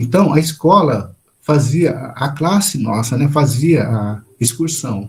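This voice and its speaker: A man's voice at medium pitch has a dark, mellow tone and is somewhat breathy. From Brazil, interior of São Paulo state. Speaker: spiritist lecturer. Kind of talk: lecture.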